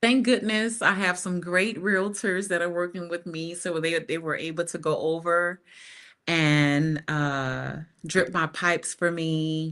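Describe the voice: A woman speaks slowly with fairly low pitch and fairly even intonation. Her tone is fairly bright.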